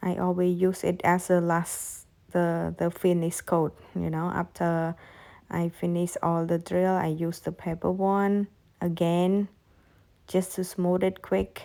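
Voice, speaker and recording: Very slowly and in a flat monotone, a woman with a non-native accent speaks in a fairly low, dark and mellow voice over a silent background in a very clean recording. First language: not English. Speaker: nail technician. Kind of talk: tutorial. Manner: halting.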